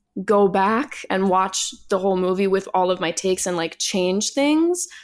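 With an American accent, a plain, everyday voice speaks at a fairly slow pace. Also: woman. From New York City. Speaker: singer and voice actor. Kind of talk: interview.

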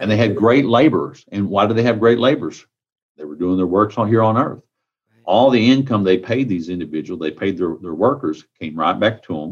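Lively intonation carries this voice with a Texan accent. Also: man, fairly low pitch for a man. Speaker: county sheriff. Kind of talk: interview.

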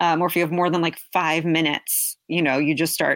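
An ordinary speaking voice from a woman with an American accent, fairly low in pitch, at a moderate pace, in a dry, close sound with no echo on a very clean recording with a silent background. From New York and New Jersey. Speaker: public health worker. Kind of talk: casual chat.

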